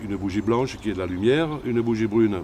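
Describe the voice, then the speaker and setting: A man speaks at a moderate pace in a medium pitch, with ordinary pitch variation and an unremarkable speaking voice. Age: 60s. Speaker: shaman healer. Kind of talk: interview.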